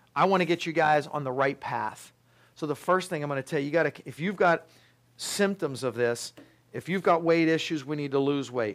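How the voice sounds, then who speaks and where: Talking at a fairly quick pace, a man with a fairly high pitch sounds animated, with ordinary pitch variation. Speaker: pharmacist and naturopath lecturer. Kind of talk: lecture. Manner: fast.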